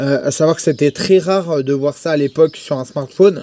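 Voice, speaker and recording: Dark, mellow tone from a man at a fairly high pitch, fairly even intonation and moderate pace, in a dry, close sound with no echo. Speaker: tech reviewer. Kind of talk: product review.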